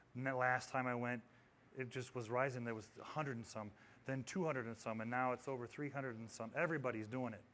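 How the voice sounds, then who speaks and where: A man talks in an animated tone at a very fast pace. Audible room echo surrounds his voice. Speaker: audio technology presenter. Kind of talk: conference presentation. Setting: stage with audience.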